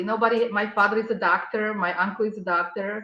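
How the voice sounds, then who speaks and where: A woman speaks with a non-native accent. Her pitch is medium. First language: not English. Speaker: artist and architect. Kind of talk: casual chat.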